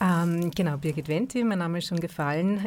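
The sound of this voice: A woman speaks at a fairly quick pace. Her voice has a fairly low pitch and a dark, mellow tone.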